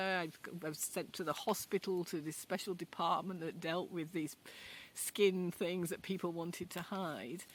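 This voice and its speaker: A woman with a strong Yorkshire accent at medium pitch and a moderate pace. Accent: Yorkshire, fairly strong. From Yorkshire, northern England. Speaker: video blogger. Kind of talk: casual chat. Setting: outdoors in a garden. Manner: conversational, unscripted.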